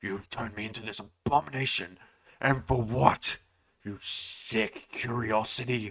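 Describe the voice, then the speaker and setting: In a put-on character voice, a man growls and strains at a medium pitch, keeping a moderate pace. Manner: furious.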